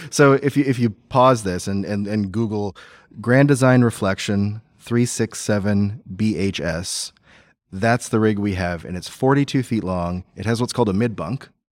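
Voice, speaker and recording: On a very clean recording with a silent background, an ordinary speaking voice moves at a moderate pace with ordinary pitch variation. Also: man, fairly low pitch for a man. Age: middle-aged. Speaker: accounting firm co-founder. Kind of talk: casual interview chat. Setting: live at a conference, in person.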